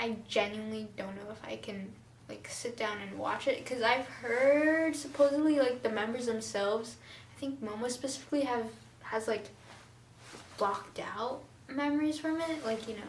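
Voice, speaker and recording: Over noticeable background noise and audible room echo, a woman with a fairly high pitch talks at a moderate pace in an animated tone, with ordinary pitch variation and big swings in loudness. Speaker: vlogger. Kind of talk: casual chat.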